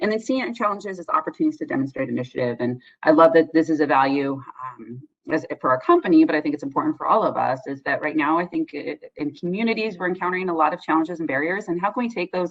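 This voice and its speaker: A woman speaks at a very fast pace with lively intonation. Her pitch is fairly low. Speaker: social worker presenting on addiction treatment. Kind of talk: conference presentation. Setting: virtual conference.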